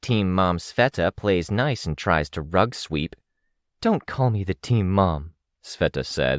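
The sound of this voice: In an unforced reading voice with lively intonation, the speaker is heard over a quiet background.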